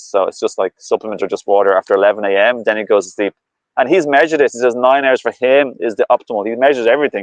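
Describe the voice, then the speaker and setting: A man with a medium pitch talks at a very fast pace. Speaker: raw foodist and health coach. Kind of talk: casual conversation.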